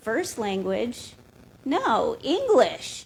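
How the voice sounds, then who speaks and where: A woman with a Lakota accent against noticeable background noise. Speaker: Native cultural educator on a panel. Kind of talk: panel discussion storytelling. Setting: live-streamed museum event.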